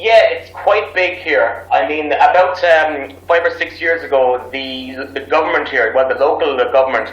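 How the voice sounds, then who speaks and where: A man with an Irish accent talks at a fairly slow pace with hardly any pauses. Noticeable background noise and audible room echo surround him. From Ireland. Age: 30s. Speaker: English teacher abroad. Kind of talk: interview.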